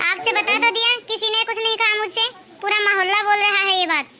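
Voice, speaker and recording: A woman's cartoonish character voice, extremely high, fairly quick, very even in loudness, with fairly even intonation. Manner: curt, sulky.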